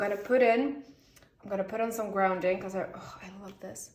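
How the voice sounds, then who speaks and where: There is audible room echo as a woman talks with a Swedish accent. Her voice is somewhat breathy, medium in pitch, and moderate in pace. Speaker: tarot reader. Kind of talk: tarot reading video, casual talk to camera. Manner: chatty, talking a lot; halting, searching for words.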